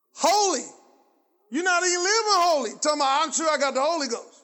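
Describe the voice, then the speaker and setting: The speaker keeps a moderate pace with ordinary pitch variation, and audible room echo surrounds the voice. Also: man. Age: 50s. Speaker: pastor. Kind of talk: sermon; fervent call-and-response preaching, hammering rhetorical questions at the congregation. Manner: conversational and colloquial, prompting audience replies; rising, insistent cadence with repeated phrases building intensity.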